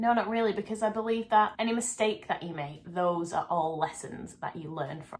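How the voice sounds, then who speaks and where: A woman's voice swings very widely in pitch over noticeable background noise. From northwest England. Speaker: dance teacher and YouTuber. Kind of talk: casual Q&A vlog.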